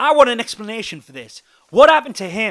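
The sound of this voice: Shouting in a put-on character voice, a man hits an extremely high pitch with big pitch swings, a fairly bright tone, and a fairly quick pace.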